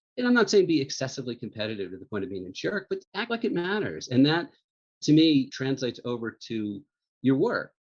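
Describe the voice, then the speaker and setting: A man talks at a moderate pace in an ordinary speaking voice. His pitch sits in the medium range, and his intonation is lively. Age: 60s. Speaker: magazine editor-in-chief. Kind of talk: interview.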